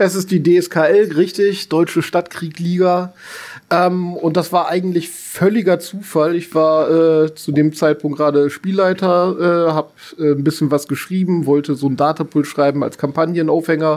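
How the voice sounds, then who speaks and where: The man speaks at a high pitch and a moderate pace. His intonation stays fairly even. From northern Germany (Bremen). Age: 40s. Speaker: teacher. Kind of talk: casual interview.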